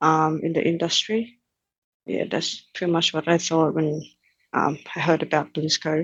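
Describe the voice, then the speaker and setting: With a Thai accent, a woman talks in a very deep, low pitch at a moderate pace, her intonation fairly even. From Thailand, Bangkok. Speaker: engineering cadet. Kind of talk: interview. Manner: halting, many fillers.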